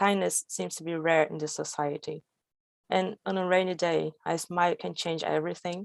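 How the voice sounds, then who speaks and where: A woman with a Brazilian accent speaks at a moderate pace. The recording is very clean with a silent background and a dry, close sound with no echo. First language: Portuguese. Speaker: storyteller. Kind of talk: storytelling performance. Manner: halting.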